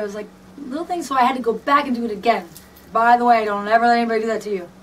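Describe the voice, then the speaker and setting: A woman talks very fast in a fairly high pitch over noticeable background noise. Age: 30s. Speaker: fan and dancer/performer. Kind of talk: personal video message, reading from a script. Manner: animated, casual.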